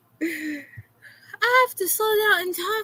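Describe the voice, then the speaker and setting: A woman with an American accent speaks in a raised, projected voice with a bright, sharp tone. Her pitch is extremely high and swings very widely. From Florida. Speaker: streamer reacting to videos. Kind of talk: casual reaction stream rant.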